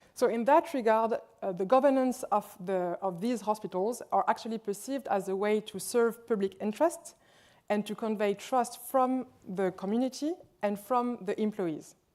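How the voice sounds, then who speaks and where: In a French accent, a woman speaks at a moderate pace with a fairly high pitch and ordinary pitch variation. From France, Lyon. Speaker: hospital administrator. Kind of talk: conference presentation.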